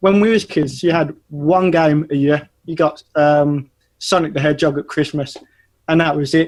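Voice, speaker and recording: A man with an English accent speaks with fairly even intonation. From English Midlands. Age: 30s. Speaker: animation studio owner. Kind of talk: casual interview. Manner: hesitant, many fillers.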